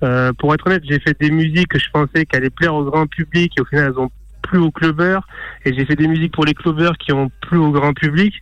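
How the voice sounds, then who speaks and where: An ordinary speaking voice from a man, fairly high in pitch, moves at a fairly quick pace with fairly even intonation and very even loudness in a dry, close sound with no echo. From small town in France. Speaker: DJ. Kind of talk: interview.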